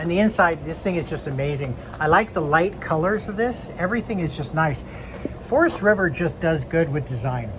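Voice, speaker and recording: Over noticeable background noise, a man with a high-pitched, animated voice and lively intonation speaks at a moderate pace. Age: 60s. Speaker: RV reviewer. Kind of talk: product walkthrough.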